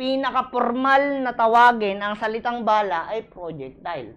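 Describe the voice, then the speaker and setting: A woman speaks at a fairly slow pace in an animated tone, her fairly high pitch moving with ordinary variation. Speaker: criminology review lecturer. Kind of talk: lecture. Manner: repetitive emphatic.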